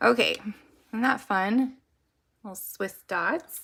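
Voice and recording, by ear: A woman puts on a hoarse character voice at a medium pitch, speaking very slowly.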